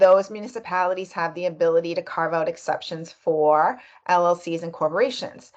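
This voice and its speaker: Speaking at a fairly quick pace, a woman has a fairly low pitch and ordinary pitch variation. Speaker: business lawyer. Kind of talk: tutorial. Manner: animated.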